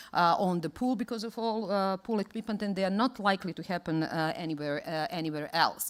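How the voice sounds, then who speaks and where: In a Serbian accent, a woman at medium pitch speaks at a fairly quick pace with lively intonation. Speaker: conference speaker on water rescue. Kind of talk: conference presentation. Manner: halting, many fillers and restarts.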